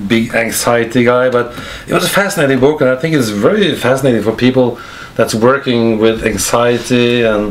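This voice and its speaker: A man with a Norwegian accent at a medium pitch and moderate pace, ordinary pitch variation, audible room echo, and noticeable background noise. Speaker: interviewer at a spiritual center. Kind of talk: interview. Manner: halting.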